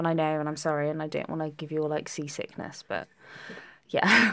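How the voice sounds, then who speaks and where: With a British accent, a woman speaks in a very deep, low pitch. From England, Essex (Tiptree). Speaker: nail technician. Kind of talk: live stream tutorial. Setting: live stream. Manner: chatty.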